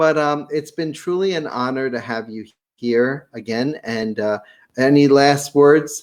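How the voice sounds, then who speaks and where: Fairly slow and fairly high-pitched, this man's voice moves unhurriedly. The pitch shifts in an ordinary way. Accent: slight Brooklyn. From Brooklyn, New York. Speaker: podcast host, real estate seminar presenter. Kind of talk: interview chat. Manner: halting, many fillers.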